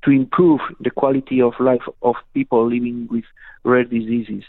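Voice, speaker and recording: The speaker is a man with a medium-pitched voice. He keeps his intonation fairly even. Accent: Spanish. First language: Spanish. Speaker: patient advocacy federation board member. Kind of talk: radio interview. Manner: halting.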